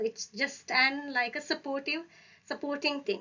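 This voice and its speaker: A woman speaks at a high pitch. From Sri Lanka. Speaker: audiology lecturer and PhD candidate. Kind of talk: webinar lecture. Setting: video call. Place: home room. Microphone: webcam.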